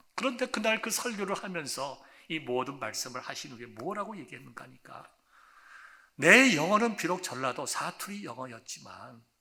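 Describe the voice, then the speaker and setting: Here a man speaks at a high pitch, his voice swinging very widely up and down. Audible room echo surrounds him. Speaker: pastor. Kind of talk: sermon.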